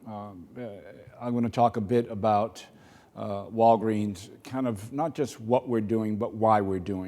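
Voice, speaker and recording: A man's fairly low, dark, mellow voice in a Boston accent, with fairly even intonation at a moderate pace. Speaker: corporate executive. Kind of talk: keynote speech. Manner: halting, many fillers.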